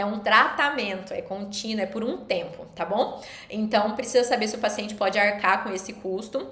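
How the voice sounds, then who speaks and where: A woman speaks at a fairly high pitch, with audible room echo and noticeable background noise. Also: ordinary pitch variation. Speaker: nutritionist. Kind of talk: live stream lecture. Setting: live stream. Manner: fast.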